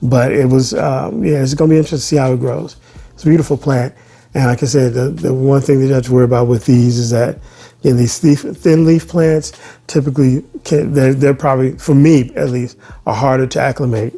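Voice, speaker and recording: A man's somewhat breathy, dark, mellow voice with an American accent, medium in pitch, at a fairly quick pace with ordinary pitch variation. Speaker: plant YouTuber. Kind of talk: casual unboxing chat. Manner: halting, many restarts and fillers.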